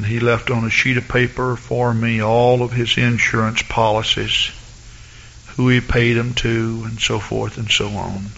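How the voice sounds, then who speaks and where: A man speaks at a medium pitch in a slight Southern US accent, with monotone, flat intonation. Background noise is noticeable. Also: fairly slow pace. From US South, east Texas. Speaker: pastor. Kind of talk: sermon. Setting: church.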